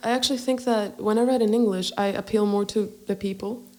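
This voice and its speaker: Amid noticeable background noise, a woman speaks fairly quickly with fairly even intonation. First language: Greek. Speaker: singer-songwriter. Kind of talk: podcast interview.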